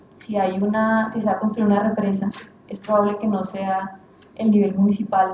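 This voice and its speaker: Amid noticeable background noise and audible room echo, a woman with a medium pitch speaks at a moderate pace in a monotone, flat intonation. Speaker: researcher, sociologist. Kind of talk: academic lecture.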